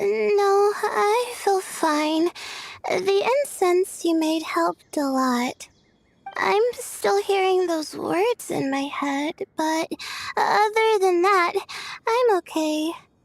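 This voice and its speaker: A woman in a put-on character voice speaks at an extremely high pitch and very slow pace, her pitch swinging very widely. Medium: video game. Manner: hesitant, full of "uh"s.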